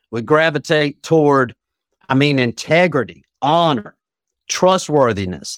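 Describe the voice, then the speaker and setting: An American-accented man uses an ordinary speaking voice, fairly high in pitch with lively intonation at a fairly slow pace, in a dry, close sound with no echo. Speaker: addiction recovery coach. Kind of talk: interview conversation.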